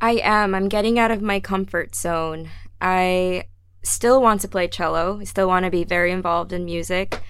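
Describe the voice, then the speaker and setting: A woman with an American accent and fairly even intonation, in a space with audible room echo. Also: medium pitch for a woman, moderate pace. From New Jersey, near Philadelphia. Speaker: orchestra community engagement coordinator and cellist. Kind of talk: casual interview chat. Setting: radio studio.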